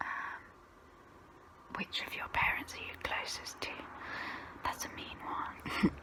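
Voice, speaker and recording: The speaker whispers at a very slow pace. Noticeable background noise runs behind. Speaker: ASMR creator. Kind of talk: ASMR get-to-know-me talk. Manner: soft, relaxing.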